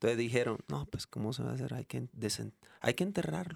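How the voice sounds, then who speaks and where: A man's medium-pitched voice with vocal fry and very wide pitch swings, in a dry, close sound with no echo. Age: 40s. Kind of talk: casual chat.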